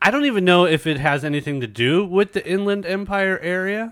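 With an American accent, a man speaks at a fairly quick pace. His high voice makes very wide pitch swings. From San Diego, California. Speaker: podcast host. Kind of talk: casual interview chat. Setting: video call. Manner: loud, boisterous at times.

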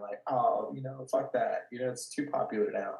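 At a moderate pace, a man talks in a Californian accent. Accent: Californian American. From California, Watsonville. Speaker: gallery owner and artist. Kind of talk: casual interview. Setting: video call from his studio.

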